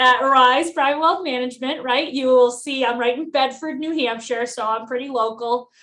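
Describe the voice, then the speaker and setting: A loud, high-pitched woman at a moderate pace with hardly any pauses. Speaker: financial advisor. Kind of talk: podcast interview. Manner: bubbly.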